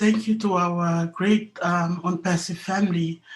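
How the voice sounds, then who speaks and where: Fairly even intonation from a woman's somewhat breathy voice. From Papua New Guinea. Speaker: business network member. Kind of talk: emotional testimony.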